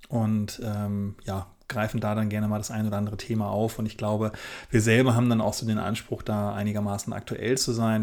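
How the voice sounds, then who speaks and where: This man talks very fast in a fairly low pitch. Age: 30s. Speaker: wedding photographer, podcast co-host. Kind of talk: casual chat.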